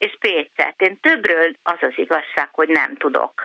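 A woman talks at a very slow pace, her pitch swinging very widely. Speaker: radio caller. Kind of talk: phone-in call. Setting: phone call.

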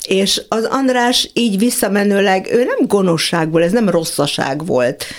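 A woman at a fairly slow pace with lively intonation, very even loudness and hardly any pauses, over noticeable background noise. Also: medium pitch for a woman. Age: 70s. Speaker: magician and fashion designer. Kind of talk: casual chat. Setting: studio. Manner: halting.

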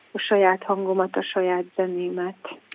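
A woman with a medium pitch speaks at a very slow pace. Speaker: jazz singer. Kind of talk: radio interview. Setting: phone call. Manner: halting.

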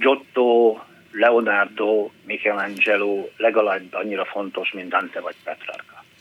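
A man's medium-pitched voice at a very slow pace, with fairly even intonation and noticeable background noise. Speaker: painter and art teacher. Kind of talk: phone-in conversation. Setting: phone call.

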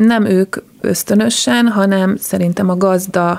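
This woman has an unremarkable speaking voice, medium pitch, and ordinary pitch variation. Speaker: dog agility team captain and judge. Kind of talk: interview. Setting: studio.

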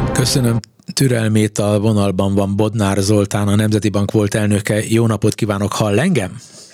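With music in the background, a man talks at a moderate pace in a monotone, flat intonation and very even loudness. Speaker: radio host. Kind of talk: radio interview.

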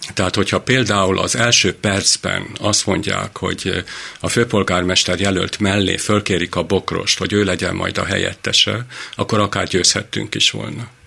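Noticeable background noise sits behind a man speaking at a moderate pace. His voice is fairly low, with fairly even intonation. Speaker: physician. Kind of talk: casual chat. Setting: studio.

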